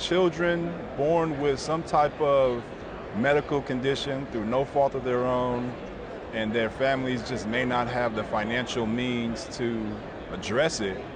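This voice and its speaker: A man talks at a very slow pace with ordinary pitch variation. There is noticeable background noise and audible room echo. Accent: American. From US West Coast, Inglewood, Los Angeles. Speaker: credit union executive. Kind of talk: interview conversation. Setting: conference venue.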